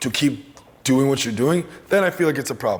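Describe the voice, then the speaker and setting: With noticeable background noise around him, a man talks using lively intonation. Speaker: comedian and actor. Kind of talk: interview.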